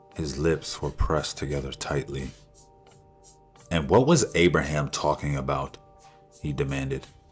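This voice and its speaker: Over music in the background, a man with a very deep, low voice speaks in a monotone, flat delivery broken by long, frequent pauses. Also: moderate pace. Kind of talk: fiction audiobook narration. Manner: calm, cinematic.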